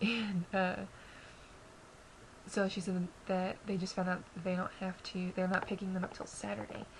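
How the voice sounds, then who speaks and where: A quiet woman at a medium pitch, moderate pace and monotone, flat intonation, with long, frequent pauses and noticeable background noise. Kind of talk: casual talk to camera. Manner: quiet, subdued.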